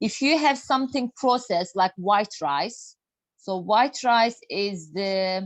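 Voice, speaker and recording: Speaking with a Turkish accent, a woman talks at a fairly slow pace with a fairly high pitch and ordinary pitch variation. The sound is dry and close with no echo, over a quiet background. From Turkey. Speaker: health and nutrition speaker. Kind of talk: lecture. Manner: halting.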